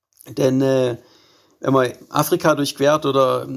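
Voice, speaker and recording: A very slow pace from a man with a fairly high pitch. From Baden-Württemberg, Germany. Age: 30s. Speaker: adventurer and ultra-endurance cyclist. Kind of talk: interview.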